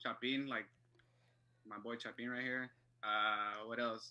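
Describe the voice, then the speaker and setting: A man speaks at a very slow pace in a monotone, flat intonation. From Los Angeles, South Central. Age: 20s. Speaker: soccer fan, photographer. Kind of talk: podcast interview.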